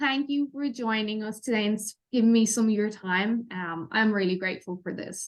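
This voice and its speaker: Lively intonation in an Irish accent, hardly any pauses, and a quiet background. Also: woman. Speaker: health podcast host. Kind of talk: podcast interview.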